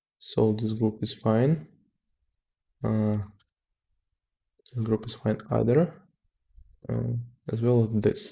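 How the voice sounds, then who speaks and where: A man at a very slow pace, medium in pitch, with a non-native accent and fairly even intonation. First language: not English. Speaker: software developer. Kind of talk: live coding tutorial. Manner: halting, many fillers.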